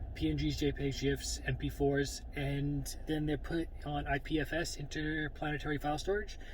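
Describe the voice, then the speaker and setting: There is audible room echo as a man speaks at a moderate pace with very even loudness. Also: hardly any pauses. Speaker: vlogger. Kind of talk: casual vlog monologue.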